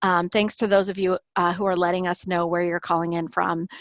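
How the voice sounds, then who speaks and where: A woman has an ordinary speaking voice at a medium pitch. Her intonation is fairly even. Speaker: webinar host. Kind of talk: webinar introduction. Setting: online webinar.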